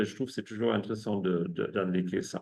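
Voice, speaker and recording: A man with a German accent speaks at a fairly low pitch. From Germany. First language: German (speaking French). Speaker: ecologist and researcher. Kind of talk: academic seminar talk. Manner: halting, many hesitations and repetitions.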